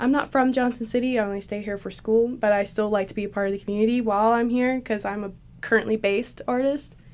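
At a very fast pace, a woman with a fairly high pitch speaks with big swings in loudness. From Tennessee. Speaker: artist and videographer. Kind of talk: casual interview. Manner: animated, frequent laughter.

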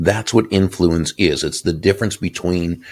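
With vocal fry, a man talks in a very deep, low pitch. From Boston, Massachusetts. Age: 60s. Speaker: author and sales speaker. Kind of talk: interview. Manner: warm, gracious.

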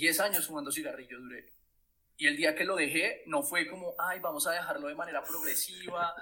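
A man talks at a fairly quick pace. His voice is high-pitched, with a bright, sharp tone. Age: 30s. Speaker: experience designer. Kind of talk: interview conversation.

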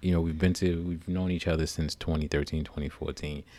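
A man with an American accent, monotone and flat in intonation, at a moderate pace. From Newark, New Jersey. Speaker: podcast co-host, military veteran. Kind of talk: casual chat. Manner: halting, many fillers.

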